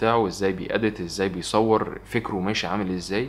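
This man's fairly low voice keeps a fairly even intonation. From Egypt. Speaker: vlogger. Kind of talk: casual Q&A vlog. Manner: fast. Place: home room.

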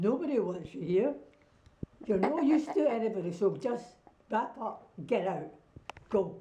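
Speaking in a Scottish accent, a woman with a fairly high pitch talks at a fairly slow pace with very wide pitch swings and long, frequent pauses, over light background noise. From Scotland. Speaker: grandmother giving a political message. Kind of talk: direct-to-camera political appeal. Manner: forceful, insistent. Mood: insistent, scolding. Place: home room. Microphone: phone near.

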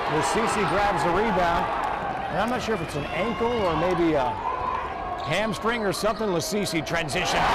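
A man speaks at a moderate pace with long, frequent pauses. Loud background noise surrounds a dry sound with no echo. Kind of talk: sports commentary. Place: stadium.

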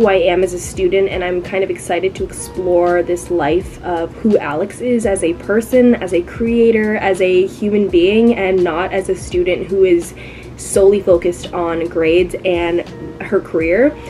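Music plays in the background as a woman talks at a moderate pace with fairly even intonation. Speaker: recent graduate vlogger. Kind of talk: casual vlog chat. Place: home room. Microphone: phone near.

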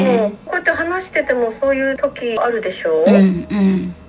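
Against light background noise, a woman speaks at a high pitch and moderate pace, her pitch swinging very widely. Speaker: mother of the video host. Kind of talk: interview answer. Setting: phone line. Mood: warm, reflective. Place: home room.

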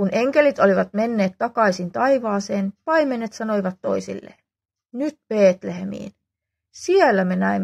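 Intonation is lively in this natural reading voice. The background stays quiet.

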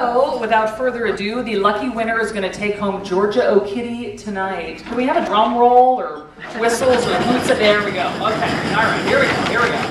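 Speaking with hardly any pauses, a woman uses a fairly high pitch and ordinary pitch variation, with audible room echo and noticeable background noise. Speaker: radio host. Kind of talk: raffle announcement at charity event. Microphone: podium.

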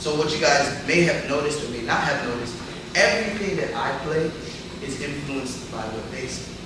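A man talks at a moderate pace with noticeable background noise. Strong room echo surrounds his voice. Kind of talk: lecture. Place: classroom. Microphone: camera far.

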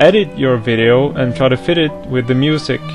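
A man's lively intonation in a non-native accent, with clear music in the background. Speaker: anime music video editor. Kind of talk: angry rant to camera. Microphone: headset.

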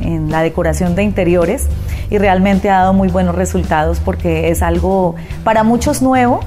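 A woman speaks at a moderate pace while clear music plays behind her. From Colombia. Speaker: radio announcer and artist. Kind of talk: interview answer. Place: home room. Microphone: lapel.

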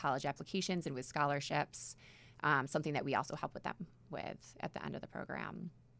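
An American accent comes through with vocal fry and ordinary pitch variation. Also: woman. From New York. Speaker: nonprofit executive director. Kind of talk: radio interview. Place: studio. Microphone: studio mic.

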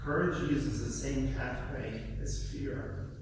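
There is strong room echo and noticeable background noise as a man speaks. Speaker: guest preacher. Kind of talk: sermon delivered to a congregation. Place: church.

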